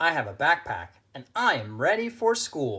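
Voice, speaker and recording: In a put-on character voice, a man speaks at a moderate pace with very wide pitch swings on a very clean recording with a silent background. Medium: read story. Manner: earnest, eager.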